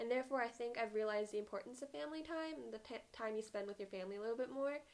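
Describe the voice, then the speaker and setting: The speaker is a woman with a fairly high pitch and ordinary pitch variation. She has an ordinary speaking voice. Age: 20s. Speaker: podcast co-host. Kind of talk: casual chat.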